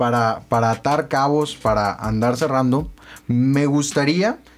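Over a very clean recording with a silent background, a man speaks at a very slow pace. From Tamaulipas, Mexico (Reynosa). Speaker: student radio host. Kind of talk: radio interview. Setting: radio studio. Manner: halting.

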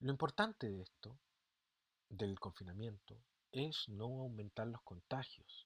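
A man's medium-pitched voice at a fairly slow pace, with ordinary pitch variation and a dry, close sound with no echo. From Chile. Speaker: teacher and podcast host. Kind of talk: solo podcast monologue. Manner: casual, conversational.

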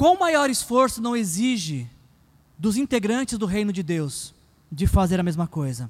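A man with a high pitch talks at a fairly slow pace. His pitch swings very widely. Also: very clean recording, silent background. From Brazil, São Paulo. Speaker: pastor. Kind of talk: sermon. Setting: church.

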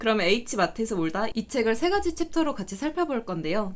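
Very wide pitch swings from a woman at fairly high pitch, animated in tone and fairly quick in pace, in a very clean recording with a silent background. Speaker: podcast host. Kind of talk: casual book-talk chat. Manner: animated, joking.

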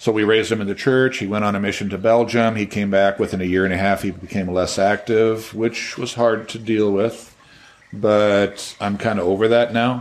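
A man with a fairly low voice speaks at a moderate pace in a monotone, flat way. Noticeable background noise runs behind him. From Washington State, US Pacific Northwest. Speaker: retired forester and firefighter. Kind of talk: casual interview. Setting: home.

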